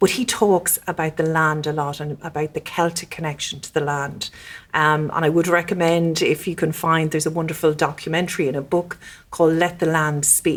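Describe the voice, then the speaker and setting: Flat and monotone, a woman speaks with an Irish Midlands accent. Her pitch is fairly low. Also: fairly quick pace. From Ireland, County Westmeath. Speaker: diplomat. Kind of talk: podcast interview. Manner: halting, many fillers.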